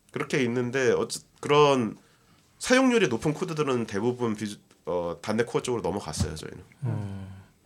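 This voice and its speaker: A man speaks at a moderate pace and medium pitch. His intonation is lively. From South Korea. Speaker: software developer and book translator. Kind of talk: casual interview chat. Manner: halting, many fillers.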